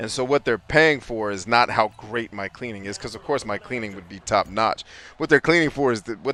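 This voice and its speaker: A man talks at a very fast pace in a medium pitch with ordinary pitch variation. The sound is dry and close, with no echo. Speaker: livestreaming gamer and business coach. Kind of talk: casual live stream chat while gaming. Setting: live stream. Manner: fast, words bundled together.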